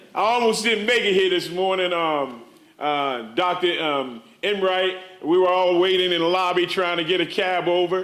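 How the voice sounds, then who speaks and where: Animated in tone, a man with a high voice speaks at a moderate pace with very even loudness, ordinary pitch variation and audible room echo. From USA. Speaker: social work professor. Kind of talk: conference talk. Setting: stage with audience.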